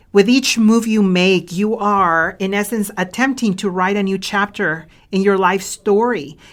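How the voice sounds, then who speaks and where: Speaking with a non-native accent, a woman of medium pitch talks fairly slowly with fairly even intonation and hardly any pauses, on a very clean recording with a silent background. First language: not English. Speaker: leadership coach and author. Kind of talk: podcast monologue.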